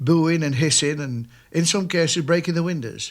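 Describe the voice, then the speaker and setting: A man speaks with a Lancashire accent at a fairly high pitch. His pitch varies in an ordinary way. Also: very clean recording, silent background. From northern England, Nelson, Lancashire. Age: 60s. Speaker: retiring mill worker. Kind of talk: interview reminiscence. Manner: halting.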